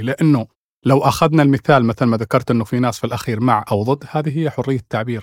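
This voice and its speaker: An ordinary speaking voice with ordinary pitch variation comes through a dry, close sound with no echo on a very clean recording with a silent background. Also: man. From Oman. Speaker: human rights activist and writer. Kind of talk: panel discussion.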